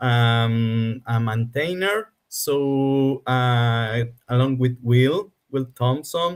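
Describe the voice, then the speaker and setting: A man's medium-pitched voice with a Spanish accent and ordinary pitch variation. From Argentina. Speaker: game developer. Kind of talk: interview. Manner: slow.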